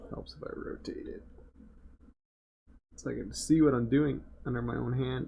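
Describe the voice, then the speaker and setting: Soft-spoken and mumbling, a man talks at a moderate pace with long, frequent pauses and audible room echo. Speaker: game developer and livestreamer. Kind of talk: live stream drawing commentary. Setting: live stream. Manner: soft-spoken, mumbling; casual, thinking aloud.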